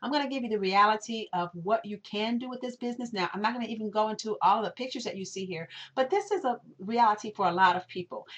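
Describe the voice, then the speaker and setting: Speaking at a very fast pace, a woman with a fairly high pitch shows ordinary pitch variation and big swings in loudness. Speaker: network marketing presenter. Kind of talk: webinar sales pitch. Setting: recorded webinar. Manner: animated.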